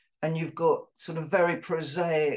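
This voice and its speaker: Her pitch very deep and low, a woman speaks at a fairly slow pace. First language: Polish. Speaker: poet. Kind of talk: interview. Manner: halting.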